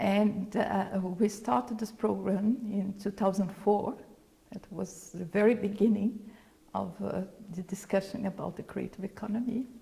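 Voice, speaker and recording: Her pace is fairly slow. The woman keeps her intonation fairly even. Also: medium pitch for a woman. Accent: Brazilian Portuguese. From Brazil. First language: Portuguese. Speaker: former UN official, creative economy expert. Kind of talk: interview.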